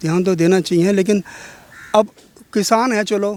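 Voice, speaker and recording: At a moderate pace, the voice comes through noticeable background noise. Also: man. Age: 60s. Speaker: member of the public interviewed. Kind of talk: street interview. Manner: casual.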